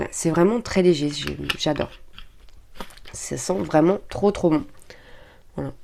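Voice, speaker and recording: Her fairly low voice has a dark, mellow tone and vocal fry as this woman talks at a moderate pace. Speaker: beauty and shopping vlogger. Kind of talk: product haul review; reading aloud. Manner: hesitant, many fillers.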